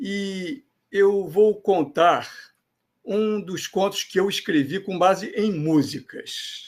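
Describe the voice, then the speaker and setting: This man speaks at a very slow pace. His pitch is high, with ordinary variation. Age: 70s. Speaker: storyteller. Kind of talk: storytelling.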